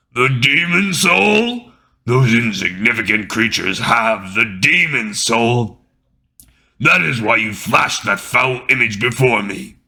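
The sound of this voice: A put-on character voice comes through raspy and hissing. It moves at a fairly slow pace. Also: man, medium pitch for a man.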